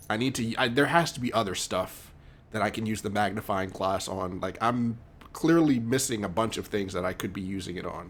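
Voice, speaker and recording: Fairly low-pitched and moving at a fairly quick pace, a man's voice shows ordinary pitch variation. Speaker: video game streamer. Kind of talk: live gameplay commentary. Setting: live stream at home with headphones. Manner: loud; casual, many fillers. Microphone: mic very close to mouth, sounds loud.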